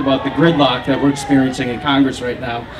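There is noticeable background noise as a man with an American accent talks at a fairly high pitch. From Minnesota, St. Paul. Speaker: Republican candidate for Congress. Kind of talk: debate answer. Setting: live public debate at fair booth. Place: stage.

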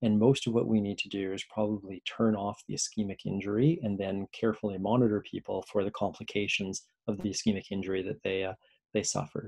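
A man's fairly low voice at a very fast pace, with fairly even intonation. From central Alberta, Canada. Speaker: nephrologist, assistant professor of medicine. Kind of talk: lecture.

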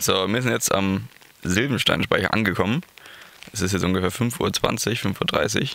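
A man talks at a fairly quick pace in a low voice with ordinary pitch variation. His tone is fairly bright, with some vocal fry.

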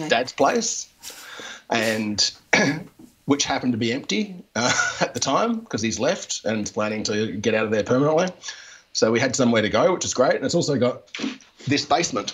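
A man with a strong Australian accent at a moderate pace, with long, frequent pauses. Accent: broad Australian. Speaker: comic artist and author. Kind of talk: interview answer. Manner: casual, hesitant. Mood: relaxed, friendly, smiling. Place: home room. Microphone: handheld.

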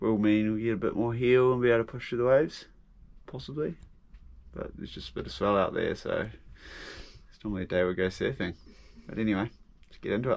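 A man's very fast delivery with ordinary pitch variation and big swings in loudness. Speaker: sailing vlogger. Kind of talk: casual vlog chat. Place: boat. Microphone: phone near.

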